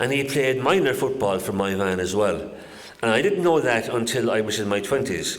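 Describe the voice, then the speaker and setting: A man talks in a Kerry accent with audible room echo. Background noise is noticeable. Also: medium pitch for a man, lively intonation, moderate pace. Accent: Kerry Irish. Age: 70s. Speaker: local historian giving a talk. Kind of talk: public talk to an audience.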